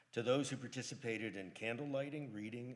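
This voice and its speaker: A man talks at a moderate pace, and the room around him gives off audible echo. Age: 70s. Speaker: lay service leader at a synagogue. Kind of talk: religious service remarks. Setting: synagogue sanctuary, live-streamed. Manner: halting at times.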